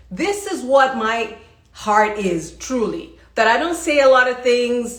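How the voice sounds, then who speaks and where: High-pitched and animated, a woman speaks with lively intonation at a fairly slow pace. Audible room echo is present. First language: not English. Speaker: leadership coach. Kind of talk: motivational livestream talk. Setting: live stream.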